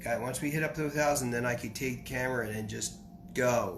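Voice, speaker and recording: Audible room echo surrounds a man speaking with vocal fry. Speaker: spiritual teacher. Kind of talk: lecture. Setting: live stream. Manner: halting.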